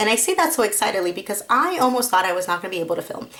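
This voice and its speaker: A woman talks amid noticeable background noise. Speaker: crafting vlogger. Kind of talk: casual chat. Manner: friendly, chatty.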